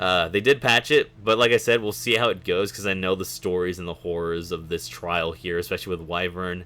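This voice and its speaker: A man's very deep, low voice with a bright, sharp tone, at a fairly quick pace. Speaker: gaming streamer. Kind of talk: live gameplay commentary. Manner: casual, filler-heavy.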